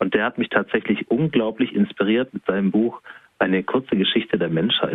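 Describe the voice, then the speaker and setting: At a fairly quick pace, a man speaks in an ordinary speaking voice with a fairly low pitch and ordinary pitch variation. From southwestern Germany. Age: 30s. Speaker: self-employed coach. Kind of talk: interview.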